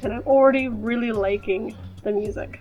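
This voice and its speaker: A woman talks. Behind her, music is playing. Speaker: gaming YouTuber. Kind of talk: casual gameplay commentary with text read aloud.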